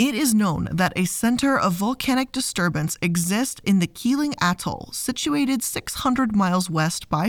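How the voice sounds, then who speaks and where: A woman at a medium pitch, somewhat breathy and warm in tone, with lively intonation at a fairly slow pace, in a very clean recording with a silent background. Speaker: podcast host. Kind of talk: scripted-style educational narration, read from sources. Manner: measured, clear, documentary-style storyteller; warm, friendly, conversational.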